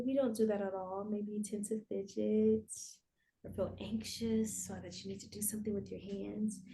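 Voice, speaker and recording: A soft-spoken, calm voice with big swings in loudness. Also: woman, moderate pace. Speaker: therapist. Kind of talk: guided breathwork.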